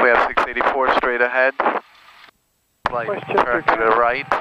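Under loud background noise, a man speaks at a fairly slow pace, the sound dry with no echo. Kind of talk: pre-takeoff briefing. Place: plane. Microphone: headset.

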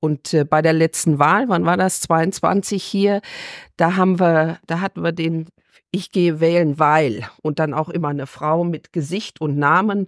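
A woman with a fairly low pitch and a normal speaking voice speaks at a fairly slow pace with fairly even intonation. The recording is very clean, with a silent background and a dry, close sound with no echo. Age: 60s. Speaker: farmer and rural women's association official. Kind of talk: interview.

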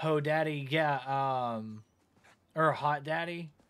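The speaker is a man. A slight Southern US accent colors his speech. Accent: flat, little Southern. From US South. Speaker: gaming streamer. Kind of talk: live gameplay stream chat. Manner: casual, conversational. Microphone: headset.

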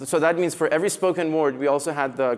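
Ordinary pitch variation from a man's voice. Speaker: conference speaker. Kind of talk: lecture. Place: hall. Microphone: headset.

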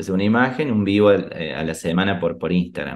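Very deep and low in pitch, a man speaks with ordinary pitch variation. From Argentina, Río Cuarto, Córdoba. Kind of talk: interview.

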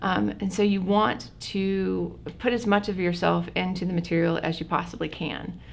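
A woman talks at a moderate pace. She leaves hardly any pauses. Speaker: college professor guest. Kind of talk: interview answer. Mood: friendly, laughing at times. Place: meeting room.

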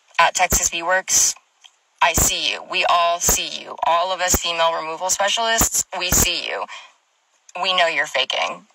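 With lively intonation, a woman speaks at a moderate pace in a fairly low pitch and a bright, sharp tone.

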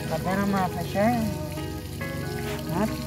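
Loud music plays in the background as a woman speaks, the sound dry with no echo. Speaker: vlogger. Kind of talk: casual vlog chat. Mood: relaxed, curious. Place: street. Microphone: phone near.

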